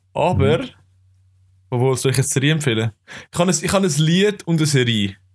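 A man with a fairly high voice talks very fast and somewhat breathily, with lively intonation and long, frequent pauses. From Switzerland, Zurich area (Kloten). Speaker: podcast co-host. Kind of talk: casual chat.

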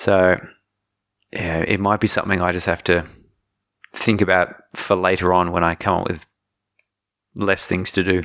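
Very deep and low in pitch, a man with an Australian accent speaks at a moderate pace in a flat monotone, pausing long and often. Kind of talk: casual chat.

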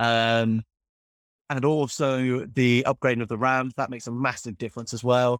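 Here a man speaks with a Cornish accent. The recording is very clean and dry, with a close sound, a silent background and no echo. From Cornwall, England. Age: 20s. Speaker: car YouTuber. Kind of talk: casual interview chat.

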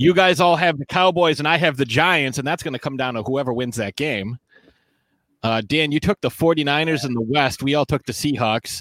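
Fairly high in pitch with ordinary pitch variation, a man talks in a normal speaking voice. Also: moderate pace, very clean recording, silent background. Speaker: sports talk show host. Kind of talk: casual banter, sports talk show. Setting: video recorded show.

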